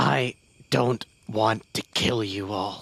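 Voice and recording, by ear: A man performs a put-on character voice. It is raspy and fairly low in pitch.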